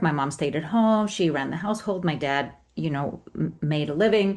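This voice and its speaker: A woman with a Spanish accent, fairly low in pitch, at a moderate pace with ordinary pitch variation, over a quiet background. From Colombia, Cali. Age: middle-aged. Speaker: memoir author. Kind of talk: interview.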